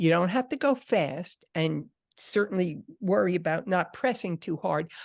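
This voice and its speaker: Against a quiet background, a plain, everyday voice talks at a fairly slow pace. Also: woman, medium pitch for a woman, lively intonation. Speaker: writing teacher. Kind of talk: lecture.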